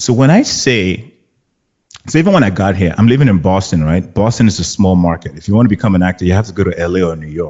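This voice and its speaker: A man with a Nigerian accent and a very deep, low pitch talks at a very fast pace. His tone is animated, with ordinary pitch variation. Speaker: actor. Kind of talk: casual chat.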